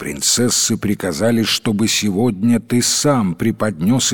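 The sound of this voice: This is an unforced reading voice. Pitch varies in an ordinary way.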